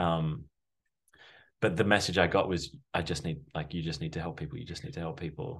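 Speaking at a fairly quick pace with an Australian accent, a man uses a very deep, low pitch with ordinary pitch variation. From Sydney, Australia. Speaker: breathwork facilitator. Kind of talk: casual chat.

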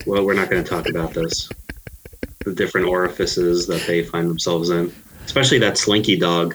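A man with a very deep, low pitch keeps fairly even intonation and a fairly quick pace while noticeable background noise plays behind him. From Queens, New York. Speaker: movie writer, podcast guest. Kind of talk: casual chat about movies.

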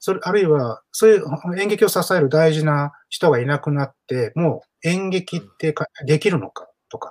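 A man's fairly high voice, a plain, everyday voice, with ordinary pitch variation and a moderate pace. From Osaka, partly raised in Hong Kong. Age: 40s. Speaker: playwright and theatre director. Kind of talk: casual interview talk.

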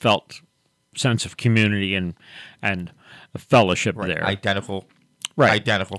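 A man speaks in a plain, everyday voice at a moderate pace with ordinary pitch variation. The recording is very clean, with a silent background and a dry, close sound with no echo. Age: 60s. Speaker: pastor and radio host. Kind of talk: radio talk show discussion with prayer. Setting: radio studio, live broadcast.

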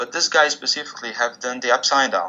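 Speaking at a moderate pace, a man talks with a Portuguese accent. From Brazil, northeast. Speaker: musician. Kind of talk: interview.

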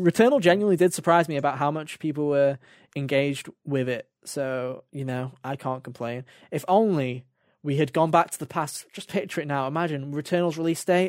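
With a British accent, a man talks fairly quickly at a fairly high pitch and ordinary pitch variation. His loudness swings widely. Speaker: gaming podcast host. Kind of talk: casual chat.

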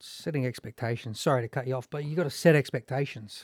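On a very clean recording with a silent background, a man with an Australian accent speaks at a medium pitch with fairly even intonation, the sound dry and close with no echo. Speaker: former footballer and football coach. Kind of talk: casual panel discussion.

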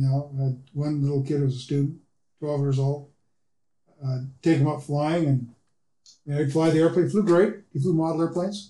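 A man's fairly high, somewhat breathy voice with a dark, mellow tone, fairly even intonation, a fairly quick pace and long, frequent pauses. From Seattle, Washington. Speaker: pilot, aviation club member. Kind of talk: casual interview. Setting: studio.

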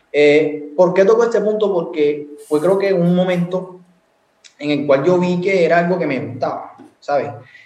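Room echo can be heard as a man speaks in a high pitch. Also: ordinary pitch variation, moderate pace. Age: 20s. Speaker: university student and entrepreneur. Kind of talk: casual chat.

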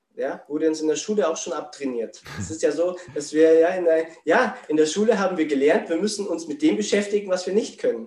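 With noticeable background noise behind him, a man talks at a fairly quick pace in a high pitch with lively intonation. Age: 40s. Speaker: spiritual coach. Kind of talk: interview.

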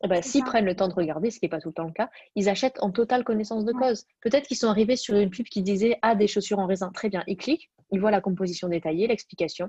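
Somewhat breathy and dark, mellow in tone, a woman speaks at a very fast pace with ordinary pitch variation over a quiet background. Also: dry, close sound with no echo. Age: 20s. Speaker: fashion entrepreneur. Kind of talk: interview.

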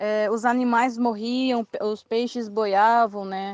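In a dry, close sound with no echo and a quiet background, a woman speaks at a very slow pace with fairly even intonation. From Mato Grosso do Sul, Brazil. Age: 20s. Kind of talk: testimony. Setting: WhatsApp voice messages.

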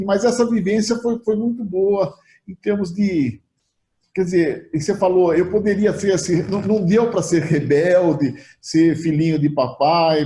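The man's voice is high-pitched, with a dark, mellow tone. He talks at a fairly slow pace with ordinary pitch variation. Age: 60s. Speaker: insurance broker, company founder. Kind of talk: interview. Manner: halting, repeats words.

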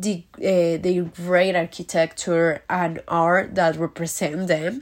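A woman with a fairly low pitch speaks very slowly. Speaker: language student. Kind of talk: recorded homework answer. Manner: halting.

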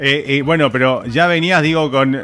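A man with a Rioplatense accent speaks at a fairly high pitch, with ordinary pitch variation. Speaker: radio and web show host. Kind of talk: casual interview. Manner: hesitant, many fillers.

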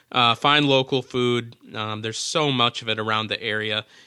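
Bright, sharp tone from a man with an American accent, medium in pitch, moderate in pace, fairly even in intonation, over a quiet background. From Minnesota. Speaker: travel podcast host. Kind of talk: casual chat.

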